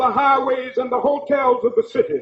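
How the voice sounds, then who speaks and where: A man's voice at an extremely high pitch. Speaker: civil rights leader. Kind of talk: political speech to a mass rally. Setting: outdoor rally. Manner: rhythmic, powerful oratorical cadence.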